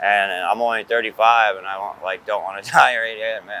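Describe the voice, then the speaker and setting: Over noticeable background noise, a man with an American accent speaks at a moderate pace in a fairly low pitch, his intonation monotone and flat. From New York. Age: 30s. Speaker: interviewee, traveler. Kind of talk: documentary interview.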